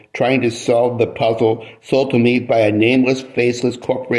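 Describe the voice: The speaker reads aloud in a plain way.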